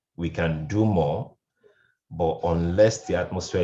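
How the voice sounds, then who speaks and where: A man speaks with a very deep, low pitch and vocal fry. His tone is dark and mellow. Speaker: radio programs manager, panelist. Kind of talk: panel discussion. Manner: loud; animated.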